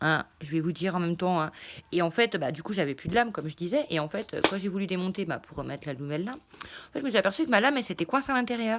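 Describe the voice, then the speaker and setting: A woman talks at a very fast pace with a medium pitch. Her pitch swings very widely. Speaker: craft YouTuber. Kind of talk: casual haul vlog. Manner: hesitant, many fillers.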